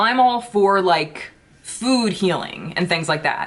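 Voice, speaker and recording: A woman speaks in an ordinary speaking voice at a moderate pace. Her intonation is lively. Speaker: beauty YouTuber. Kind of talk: casual vlog chat.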